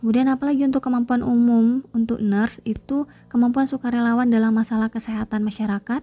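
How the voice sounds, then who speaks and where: A soft-spoken woman talks very fast with hardly any pauses, her high voice dark and mellow in tone. Her intonation is monotone and flat, and her loudness is very even. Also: dry, close sound with no echo. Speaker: nursing exam tutor. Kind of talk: tutorial. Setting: home at night.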